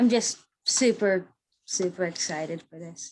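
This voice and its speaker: A woman puts on a character voice that comes out shaky and nervous in tone. She speaks at a fairly slow pace. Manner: nervous, shaky.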